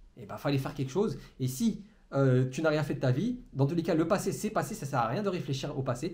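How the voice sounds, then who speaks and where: A man is speaking. There is audible room echo. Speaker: entrepreneurship coach. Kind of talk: motivational monologue to camera. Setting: alone in a room facing a camera. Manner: fast; stumbles over words.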